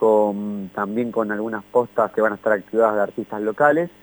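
The sound is dry and close with no echo as a man talks at a moderate pace. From Argentina, Banfield. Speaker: community event organizer. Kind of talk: radio interview.

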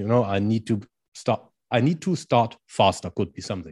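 A man's fairly low, dark and mellow voice with a German accent, at a fairly quick pace over a quiet background. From Germany. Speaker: strength and conditioning coach. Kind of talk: interview.

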